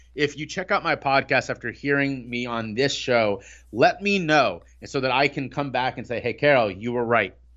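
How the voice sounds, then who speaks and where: An American man talks at a moderate pace. His pitch is fairly high, with ordinary pitch variation. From Ohio, US. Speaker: recovery speaker and coach. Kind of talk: interview. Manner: halting.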